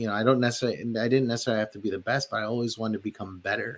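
A man with a Midwestern American accent speaks at a medium pitch. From Detroit, Michigan (born in the Philippines). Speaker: chef and restaurateur. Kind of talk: casual interview chat.

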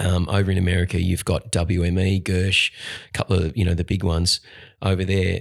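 In an Australian accent, the speaker keeps fairly even intonation at a moderate pace, with a dry, close sound with no echo on a very clean recording with a silent background. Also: man. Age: 40s. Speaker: actor and singer. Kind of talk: casual chat.

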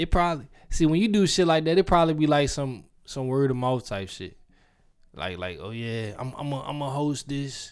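Fairly high in pitch, a man talks at a moderate pace with lively intonation and big swings in loudness. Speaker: podcast co-host. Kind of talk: casual banter. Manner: joking, animated.

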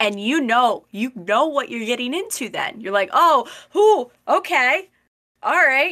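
In an American accent, a woman projects her high, bright, sharp voice at a raised level. She talks fairly slowly, her pitch swinging very widely. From US, semi-rural suburban fringe. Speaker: podcast host. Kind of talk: casual educational discussion.

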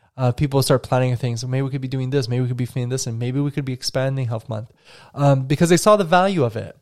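Speaking at a very fast pace, a man keeps a medium pitch with ordinary pitch variation. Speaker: PE teacher and podcast host. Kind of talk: solo podcast monologue. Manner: fast talker; casual, upbeat.

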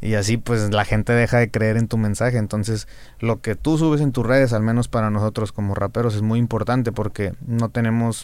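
In a flat, monotone delivery, a man talks at a moderate speed with a medium pitch. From Monterrey, northern Mexico. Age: 20s. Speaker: rapper. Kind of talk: casual chat.

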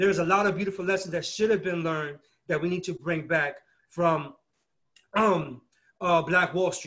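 A man's high-pitched voice at a fairly quick pace. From Brooklyn, New York (born in Peru). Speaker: community organizer and business co-founder. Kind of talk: interview. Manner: animated.

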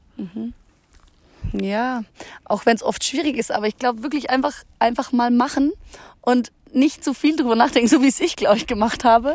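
Speaking with a high pitch, a woman keeps a moderate pace and ordinary pitch variation, broken by long, frequent pauses. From Munich area, Bavaria. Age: young. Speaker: hiking guest, works with children. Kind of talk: casual interview. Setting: outdoors on a mountain meadow.

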